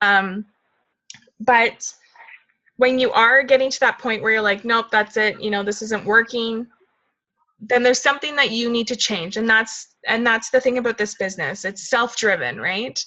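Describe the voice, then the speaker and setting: The voice is loud, with a bright, sharp tone and a moderate pace. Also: woman, fairly high pitch for a woman, fairly even intonation. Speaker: fitness coach leading a team call. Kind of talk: team call, casual coaching talk.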